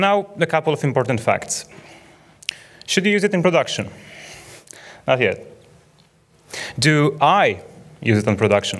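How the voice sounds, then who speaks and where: Vocal fry at a moderate pace, with very wide pitch swings, very even loudness, and long, frequent pauses. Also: man, fairly high pitch for a man. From Poland, Warsaw. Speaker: software developer. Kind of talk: conference lightning talk. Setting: stage with audience.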